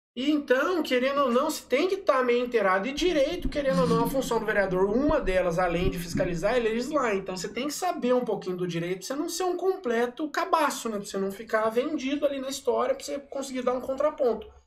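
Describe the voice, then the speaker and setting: Over noticeable background noise, a man talks at a very fast pace with an extremely high pitch and very wide pitch swings. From Brazil, Aparecida (Goiás). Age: 30s. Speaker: city councillor. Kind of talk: casual chat.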